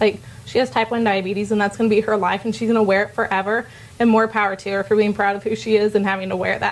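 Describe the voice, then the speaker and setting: At a very fast pace, a woman of medium pitch speaks over noticeable background noise. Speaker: dietetic intern, student speaker. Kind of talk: informal talk to students. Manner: animated.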